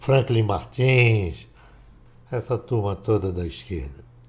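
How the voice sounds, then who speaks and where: Speaking at a very slow pace, a man's somewhat breathy voice moves through very wide pitch swings. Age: 70s. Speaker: political commentator. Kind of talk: casual monologue.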